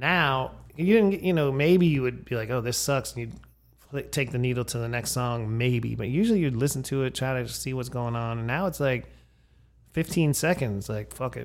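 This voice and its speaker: A man speaks in an American accent at a moderate pace and medium pitch. His is a plain, everyday voice with ordinary pitch variation. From Erie, Pennsylvania. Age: 50s. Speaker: podcast host. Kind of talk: casual chat.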